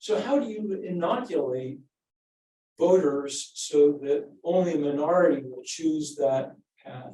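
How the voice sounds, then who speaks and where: A man with a fairly high pitch and a dark, mellow tone talks at a fairly slow pace. His pitch varies in an ordinary way, while his loudness swings widely. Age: 60s. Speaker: political science professor, book editor. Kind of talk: panel discussion answer. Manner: halting, many fillers.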